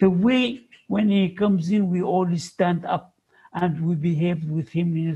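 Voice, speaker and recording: A man's high-pitched voice with ordinary pitch variation. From Sudan. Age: 80s+. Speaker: psychology professor. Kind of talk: interview.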